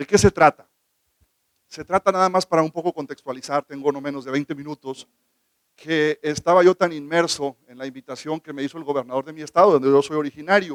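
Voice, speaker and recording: A man with a fairly high pitch speaks at a fairly quick clip, his intonation fairly even. His volume rises and falls sharply, and the sound is dry and close with no echo. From northern Mexico (Baja California). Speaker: government legal official. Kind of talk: conference talk.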